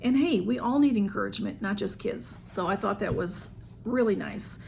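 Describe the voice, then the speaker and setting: In a Southern US accent, a woman speaks at a moderate pace. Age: 60s. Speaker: YouTuber. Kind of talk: haul video. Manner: casual, hesitant with fillers.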